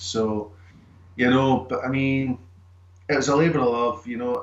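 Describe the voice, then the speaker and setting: Speaking with a Scottish accent, a man uses a medium pitch. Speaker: screenwriter and actor. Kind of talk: interview answer.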